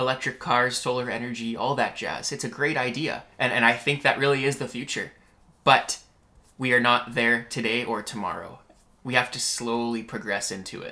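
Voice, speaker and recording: In a Western Canadian accent, a man speaks at a moderate pace. His tone is bright and sharp, and his intonation is flat and monotone. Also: medium pitch for a man. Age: 20s. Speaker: podcast host. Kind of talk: casual interview chat. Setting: at guest's business premises.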